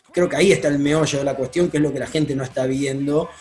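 Ordinary pitch variation marks the speech, with music in the background. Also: man. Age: 20s. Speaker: football club president. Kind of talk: radio interview. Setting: video call. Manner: hesitant, many fillers.

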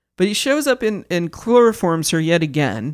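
The recording is very clean, with a silent background. A woman with an American accent speaks at a moderate pace and a fairly low pitch. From Kansas. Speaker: podcast co-host. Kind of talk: casual chat.

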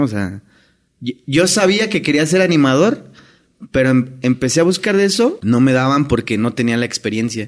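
A man talks in a Mexican accent at medium pitch. His intonation is lively. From Mexico. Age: 30s. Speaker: hotel entertainer. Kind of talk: casual chat.

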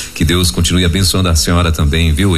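Noticeable background noise and audible room echo surround a man whose pitch is very deep and low. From Pará, Brazil. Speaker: radio host. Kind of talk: interview. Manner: animated.

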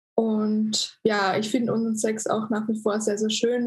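This is a woman with a fairly high pitch. Her voice is somewhat breathy. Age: 20s. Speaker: influencer. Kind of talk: casual chat. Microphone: poor recording quality.

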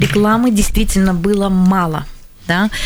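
Against noticeable background noise, a woman with a Latvian accent speaks at a moderate pace, with medium pitch and ordinary pitch variation. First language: Latvian (speaking Russian). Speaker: language teachers' association head. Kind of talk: radio studio discussion. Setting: radio studio.

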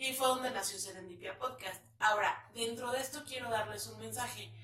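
A woman with a central Mexican accent speaks with lively intonation over noticeable background noise and audible room echo. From León, Guanajuato, Mexico. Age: 30s. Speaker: podcast host. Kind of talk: casual monologue to viewers. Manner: chatty, filler-heavy.

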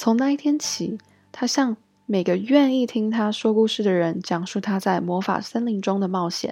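This woman has an unremarkable speaking voice, talking at a moderate pace with ordinary pitch variation. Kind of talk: bedtime story reading aloud, German then Chinese translation. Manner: gentle storyteller, even and measured pacing.

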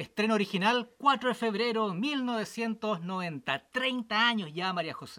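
Raised and projected, a man's high-pitched voice with a bright, sharp tone moves at a very slow pace with hardly any pauses, ordinary pitch variation and big swings in loudness. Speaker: podcast co-host. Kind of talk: casual chat.

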